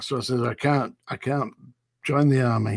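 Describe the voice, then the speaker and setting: A man with a Lancashire accent at a moderate pace, with ordinary pitch variation, a dry sound with no echo and a quiet background. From northern England. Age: 70s. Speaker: former prison officer. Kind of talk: interview.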